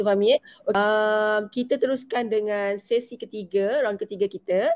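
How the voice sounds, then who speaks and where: A woman with a normal speaking voice talks at a moderate pace and a fairly high pitch. Her intonation is fairly even, and the sound is dry and close with no echo. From Malaysia, Selangor. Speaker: webinar moderator, gold dealer. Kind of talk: online panel moderation.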